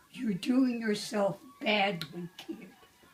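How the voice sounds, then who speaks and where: A woman with lively intonation at a very slow pace, over noticeable background noise. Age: 80s+. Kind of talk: casual family conversation.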